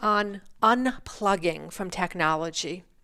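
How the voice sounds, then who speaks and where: This woman has a Rhode Island accent. She speaks at a very slow pace. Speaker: instructional design webinar co-host. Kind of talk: casual chat on a live webinar.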